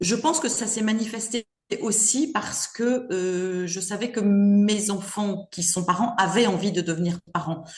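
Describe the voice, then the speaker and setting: A woman speaks at medium pitch and a very slow pace. Her pitch variation is ordinary. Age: 60s. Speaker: grandmother, retired mother of five. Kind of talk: casual interview chat. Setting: podcast interview. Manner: hesitant, many fillers.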